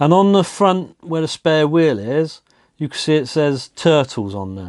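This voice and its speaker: Against a quiet background, a man speaks with a British accent. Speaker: diecast toy collector and reviewer. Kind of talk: casual toy review, show-and-tell.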